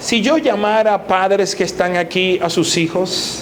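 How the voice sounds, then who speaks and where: A high-pitched man at a very slow pace, with noticeable background noise and audible room echo. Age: 60s. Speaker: pastor. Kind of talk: sermon.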